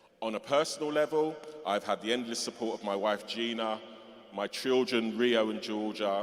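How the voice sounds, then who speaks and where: A man's fairly low voice in a London accent, at a moderate pace. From London (Tottenham, North London). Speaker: music festival organiser, honorary graduate. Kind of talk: acceptance speech. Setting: cathedral ceremony with audience. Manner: hesitant, with fillers.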